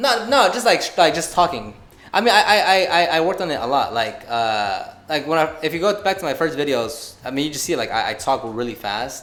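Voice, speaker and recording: The voice swings very widely in pitch. It moves at a fairly quick pace. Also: man, fairly high pitch for a man. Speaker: car detailing youtuber. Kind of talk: casual podcast interview. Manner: fast; mumbling.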